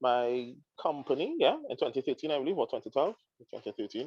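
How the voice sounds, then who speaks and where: A man with a Trinidadian accent speaks in a fairly high voice, recorded with a dry, close sound and no echo. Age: 30s. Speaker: counseling psychologist. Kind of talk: interview. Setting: live stream. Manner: halting.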